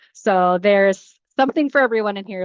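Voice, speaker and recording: The recording has a quiet background and a dry, close sound with no echo as a woman speaks at a medium pitch. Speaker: housing nonprofit presenter. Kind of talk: webinar presentation. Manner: fast; animated.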